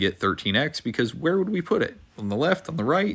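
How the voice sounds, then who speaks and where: In a very clean recording with a silent background, a man speaks at a fairly quick pace in a bright, sharp tone. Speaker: math teacher. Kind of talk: tutorial. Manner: fast.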